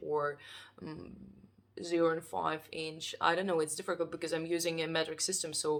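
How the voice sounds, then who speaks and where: A woman speaks with a non-native accent and a fairly low pitch. Her intonation is monotone and flat, and her pace is moderate. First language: not English. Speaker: artist. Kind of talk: casual vlog. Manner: halting.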